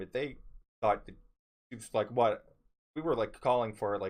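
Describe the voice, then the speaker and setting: A man speaks at a fairly quick pace. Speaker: store worker. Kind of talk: casual story time talk to camera. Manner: low-voiced at times.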